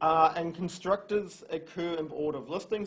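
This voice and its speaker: This is a man's voice with a high pitch. His pitch varies in an ordinary way. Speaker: university lecturer. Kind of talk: lecture. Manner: fast.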